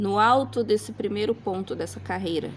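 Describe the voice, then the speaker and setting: The intonation rises and falls in a lively way at a moderate pace. Background noise is clearly noticeable. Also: woman. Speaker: crochet teacher. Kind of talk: tutorial. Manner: casual, instructive.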